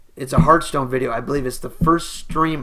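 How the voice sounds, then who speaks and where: Loud background noise sits under a voice with fairly even intonation. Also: man. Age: 20s. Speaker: gaming YouTuber. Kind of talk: casual vlog chat. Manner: casual, profane. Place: home room. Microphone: webcam.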